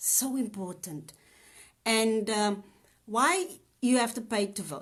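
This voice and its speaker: Her intonation is lively and her voice somewhat breathy. The woman speaks at a very slow pace with a fairly high pitch. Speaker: spoken word artist and nurse. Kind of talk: casual talk to camera, live stream. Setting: live video on social media. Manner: upbeat, chatty.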